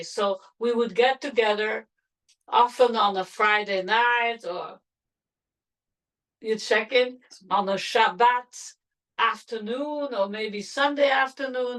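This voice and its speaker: A woman with a French accent speaks at a fairly slow pace with ordinary pitch variation. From Belgium, Antwerp. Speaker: grandmother interviewee. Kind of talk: family oral-history interview.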